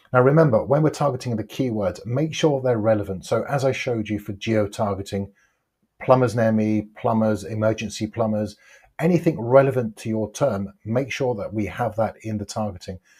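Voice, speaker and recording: A man talks at a moderate pace with ordinary pitch variation. His voice is somewhat breathy, and the background is quiet. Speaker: online ads coach. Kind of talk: tutorial. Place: home room. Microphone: lapel.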